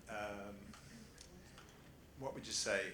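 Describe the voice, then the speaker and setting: A man with an Australian accent talks at a medium pitch, his intonation fairly even. Room echo and noticeable background noise are present. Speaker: family office founder. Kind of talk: panel discussion. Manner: halting, many fillers.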